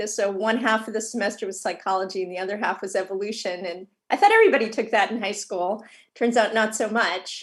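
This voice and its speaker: A woman's fairly high voice with an American accent, at a fairly quick pace. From Boston area, Massachusetts. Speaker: psychology professor. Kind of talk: interview.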